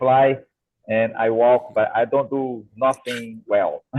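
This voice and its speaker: Speaking at a very slow pace, a man with a medium-pitched voice has a Brazilian Portuguese accent. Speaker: co-host, agronomist and musician. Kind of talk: casual interview chat. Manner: halting, many false starts; too quiet.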